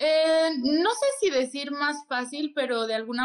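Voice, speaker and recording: The woman here speaks at a very slow pace. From Mexico City. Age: 20s. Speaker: parkour athlete and stunt double. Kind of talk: interview.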